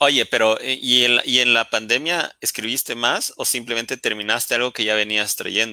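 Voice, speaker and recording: In a bright, sharp tone, a man with a medium pitch speaks at a moderate pace with fairly even intonation and hardly any pauses. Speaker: live stream host. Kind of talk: casual interview. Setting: live stream on social media.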